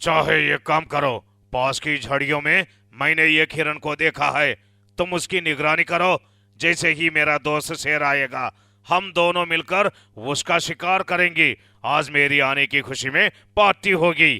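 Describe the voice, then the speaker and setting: Recorded very cleanly against a silent background, a man puts on a cartoonish character voice with fairly high pitch at a fairly slow pace. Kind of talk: cartoon bedtime story voice acting. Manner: sly, confident.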